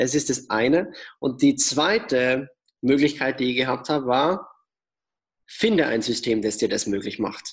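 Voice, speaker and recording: This man has a plain, everyday voice. It sits at a medium pitch and shows ordinary pitch variation. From Austria. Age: 20s. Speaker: entrepreneur and author. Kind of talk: interview.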